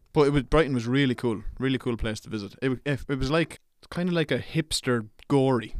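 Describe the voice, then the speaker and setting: With an Irish accent, a man speaks fairly quickly at a medium pitch and with ordinary pitch variation. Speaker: podcast co-host. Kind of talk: casual chat. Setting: studio.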